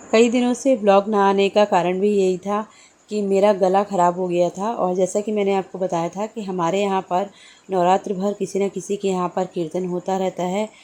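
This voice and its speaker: Her intonation monotone and flat, a woman delivers her words at a moderate pace in a dark, mellow tone. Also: medium pitch for a woman. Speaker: vlogger and housewife. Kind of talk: vlog voice-over narration.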